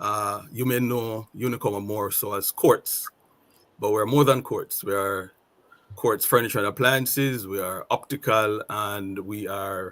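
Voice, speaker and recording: The speaker uses a Jamaican accent, fairly even intonation and a fairly slow pace. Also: man, fairly low pitch for a man. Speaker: retail sales manager. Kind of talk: panel discussion.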